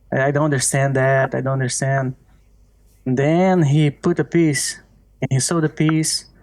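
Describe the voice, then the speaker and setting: With a Portuguese accent, the speaker keeps a moderate pace, very even loudness and fairly even intonation. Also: man, fairly high pitch for a man. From Brazil, small countryside town. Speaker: artist. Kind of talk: podcast interview. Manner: halting.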